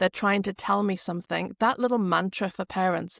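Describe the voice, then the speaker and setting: Recorded very cleanly with a silent background and a dry, close sound with no echo, a woman with a northeast English accent talks at a moderate pace, medium pitch and fairly even intonation. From northeast England. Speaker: speech language therapist. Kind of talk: podcast interview.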